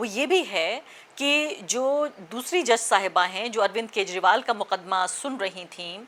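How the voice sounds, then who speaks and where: Pitch swings very widely while the delivery holds a moderate speed. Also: woman. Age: middle-aged. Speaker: journalist / news commentator. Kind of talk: opinion commentary. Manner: impassioned, direct address.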